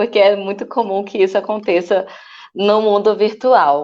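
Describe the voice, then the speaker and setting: A woman is speaking here. Her pitch is medium and her pace moderate. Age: 30s. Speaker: city council candidate. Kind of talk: online panel discussion. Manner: halting, many fillers.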